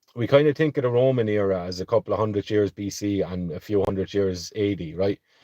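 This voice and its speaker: Talking very fast with hardly any pauses, a man with a fairly low pitch and ordinary pitch variation sounds dry and close, with no echo, over a quiet background. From Ireland, County Tipperary. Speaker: livestream host. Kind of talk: casual livestream talk. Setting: livestream.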